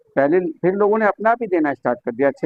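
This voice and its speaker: The man's intonation is lively. His speech moves at a moderate pace. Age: 60s. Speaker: yoga teacher. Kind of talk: interview.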